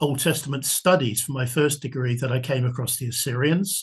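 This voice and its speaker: Against a quiet background, a man with a southern English accent speaks at a fairly high pitch and moderate pace, somewhat breathy, with fairly even intonation. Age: 70s. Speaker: military history author. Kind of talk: podcast interview.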